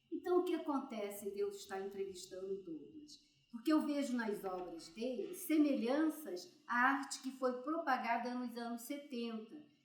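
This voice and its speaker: A woman speaks at a fairly slow pace with hardly any pauses. Her high pitch moves in very wide swings. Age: 80s+. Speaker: interviewer, elderly artist. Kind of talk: interview introduction. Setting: art gallery.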